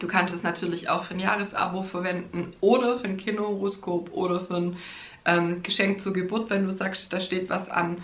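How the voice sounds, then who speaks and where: Over noticeable background noise and audible room echo, a woman talks at a moderate pace in a medium pitch with monotone, flat intonation. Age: 30s. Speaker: astrologer and podcast host. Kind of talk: solo podcast monologue, teaching astrology; promotional pitch for own course. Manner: casual with frequent fillers and laughs.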